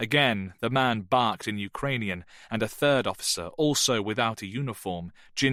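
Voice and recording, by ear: A read-aloud passage in a natural voice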